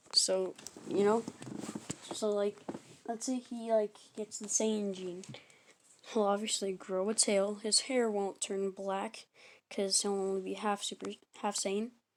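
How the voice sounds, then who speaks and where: A woman speaks at a medium pitch in a flat monotone, fairly slowly and with long, frequent pauses. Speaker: YouTuber telling fan-fiction anime stories. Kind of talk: casual storytelling monologue. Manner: halting, many fillers and self-corrections.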